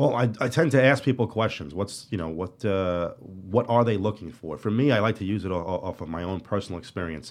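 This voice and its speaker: A man with a Brooklyn accent, lively in intonation, at a fairly quick pace with hardly any pauses. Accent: New York (Brooklyn). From Brooklyn, New York City (Marine Park). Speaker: real estate agent. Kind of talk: interview. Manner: casual, many fillers and repetitions.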